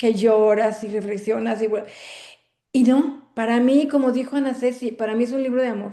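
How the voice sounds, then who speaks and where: Fairly high in pitch with a dark, mellow tone, a woman speaks at a moderate pace with fairly even intonation amid audible room echo. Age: 60s. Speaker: book club member. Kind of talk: casual chat. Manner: halting.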